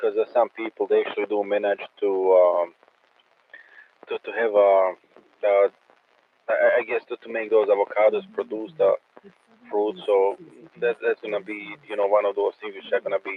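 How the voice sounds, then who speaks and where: A man speaks with a Croatian accent and long, frequent pauses. His loudness swings widely. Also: moderate pace. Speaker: amateur radio operator. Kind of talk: casual chat. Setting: radio net. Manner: halting, many repetitions.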